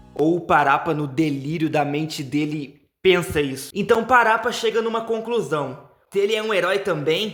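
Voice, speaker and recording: A man speaks at a moderate pace. His tone is animated, with lively intonation. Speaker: gaming YouTuber. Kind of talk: video essay narration.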